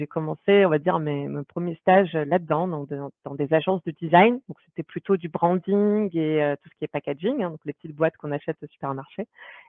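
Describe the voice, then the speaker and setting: Talking at a fairly quick pace with hardly any pauses, a woman in an unremarkable speaking voice, fairly low in pitch with ordinary pitch variation, shows big swings in loudness. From France. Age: 30s. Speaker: product manager. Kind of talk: interview.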